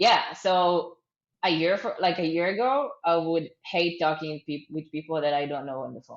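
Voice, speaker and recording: A woman with an Israeli accent, fairly low pitch, ordinary pitch variation, a moderate pace and big swings in loudness. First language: Hebrew. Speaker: startup founder. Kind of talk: interview. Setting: video call. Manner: hesitant, many fillers.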